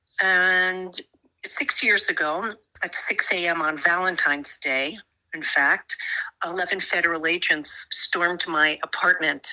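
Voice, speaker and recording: A woman's fairly low, bright and sharp voice with fairly even intonation at a fairly slow pace. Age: 70s. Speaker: psychotherapist, mother of a prisoner. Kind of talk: interview.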